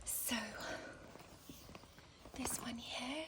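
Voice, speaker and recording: A woman speaks softly. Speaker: ASMR content creator. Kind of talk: ASMR handbag review, talking to the viewer. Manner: soft-spoken, slow.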